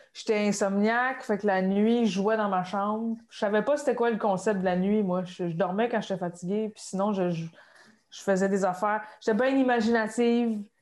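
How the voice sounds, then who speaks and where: This woman with a Quebec accent has a medium pitch, fairly even intonation, and big swings in loudness. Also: moderate pace. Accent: Québécois French. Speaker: comedian. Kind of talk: casual chat.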